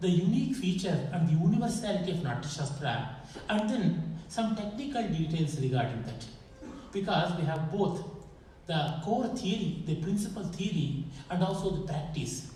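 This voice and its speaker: With an Indian accent, a man speaks at a moderate pace with a high pitch and lively intonation. Audible room echo and noticeable background noise come through. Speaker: scholar and lecturer. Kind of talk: lecture.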